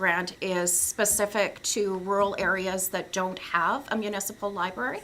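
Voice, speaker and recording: A woman's medium-pitched voice, bright and sharp in tone, monotone and flat, at a fairly slow pace, with audible room echo. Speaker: library representative presenting to council. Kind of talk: council meeting presentation.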